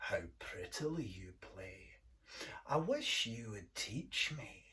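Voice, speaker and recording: Very slow male speech in a put-on character voice. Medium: read story.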